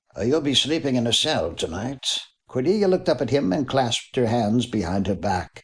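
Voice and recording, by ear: Someone is reading aloud in a natural voice, with lively rises and falls in tone.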